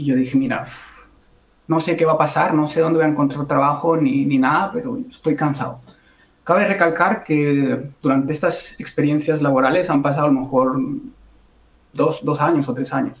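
A man with a fairly high pitch talks in a somewhat breathy voice, leaving long, frequent pauses. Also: ordinary pitch variation, moderate pace. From Bogotá, Colombia. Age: 20s. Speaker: product and services engineer. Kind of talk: casual interview. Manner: halting, repeats words.

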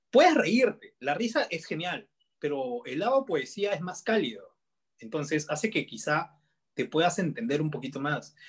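A man's voice swings very widely in pitch as he talks at a fairly slow pace. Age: 20s. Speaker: comedian and content creator. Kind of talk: casual interview.

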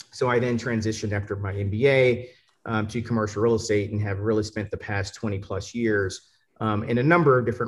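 A man with an American accent speaks at a fairly quick pace in a somewhat breathy, fairly low voice with fairly even intonation. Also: quiet background. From Atlanta, US South. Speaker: panelist. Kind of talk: panel discussion. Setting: video call.

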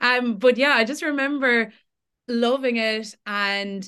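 A woman speaks in a Tipperary accent with ordinary pitch variation. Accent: Irish (Tipperary). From Ireland, Tipperary. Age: 20s. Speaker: social media creator. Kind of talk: casual chat.

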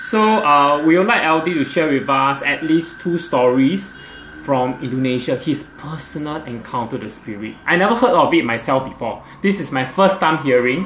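A man with a fairly high voice speaks at a moderate pace, his intonation lively, as noticeable noise runs behind him. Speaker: podcast host and interviewer. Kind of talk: casual interview chat. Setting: video call.

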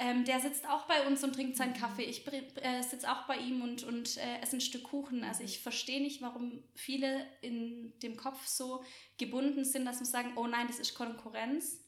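Over noticeable background noise and audible room echo, a woman talks with hardly any pauses, her high pitch held in monotone, flat intonation. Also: moderate pace. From Swabia, Germany (small village near Göppingen). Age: 20s. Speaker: café owner and entrepreneur. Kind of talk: podcast interview.

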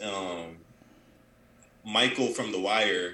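Audible room echo surrounds a man whose tone is bright and sharp.

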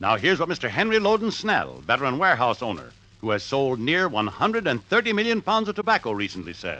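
Bright and sharp in tone, a man with a fairly high pitch and vocal fry talks at a fairly quick pace with hardly any pauses, his pitch swinging very widely. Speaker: radio announcer. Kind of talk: vintage radio commercial announcer, brisk and polished.

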